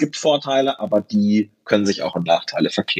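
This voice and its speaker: At a fairly quick pace, this man talks with lively intonation. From Germany, southern Lower Saxony. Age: 30s. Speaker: politician. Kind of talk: casual interview. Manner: hesitant with many fillers.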